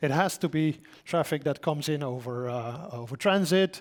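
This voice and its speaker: With a Dutch accent, a man talks at a fairly high pitch. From Netherlands. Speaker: solution engineer. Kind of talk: conference talk. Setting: stage with audience. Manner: casual, joking.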